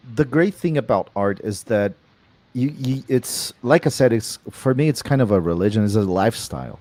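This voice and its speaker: A man with a non-native accent speaks at a moderate pace in a dark, mellow tone. His intonation is lively, and the recording is very clean with a silent background. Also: medium pitch for a man. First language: not English. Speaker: artist. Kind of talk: interview. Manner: halting.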